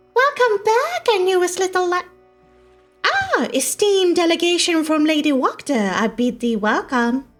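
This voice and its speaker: In a put-on character voice at an extremely high pitch, the speaker goes at a moderate pace with faint music in the background. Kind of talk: archaic formal. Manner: creepy, sweetly menacing.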